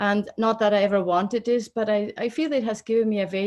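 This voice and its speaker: A woman talks in a Swiss accent at a medium pitch. The background is quiet. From Switzerland. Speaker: oncologist and professor of medicine. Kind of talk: interview. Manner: halting with fillers.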